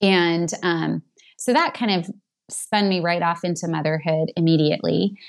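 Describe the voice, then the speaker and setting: Speaking at a moderate pace, a woman has an ordinary speaking voice, a fairly low pitch and fairly even intonation. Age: 40s. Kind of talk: casual chat.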